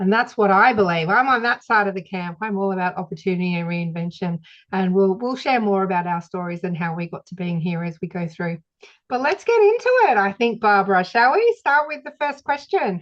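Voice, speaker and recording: Speaking at a fairly quick pace in an Australian accent, a woman uses lively intonation at a medium pitch. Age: 50s. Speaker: podcast host. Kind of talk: casual chat.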